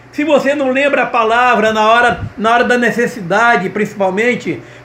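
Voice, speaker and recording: A man talks with an extremely high pitch. Audible room echo and noticeable background noise surround his voice. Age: 70s. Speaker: pastor and gospel singer. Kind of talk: sermon-style video message. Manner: halting, frequent repetitions and tag 'tá?'.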